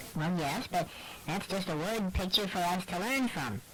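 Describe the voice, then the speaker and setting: In a put-on character voice with a middle pitch, the speaker moves at a moderate pace over clear background noise. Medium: audio drama. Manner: gentle, reassuring.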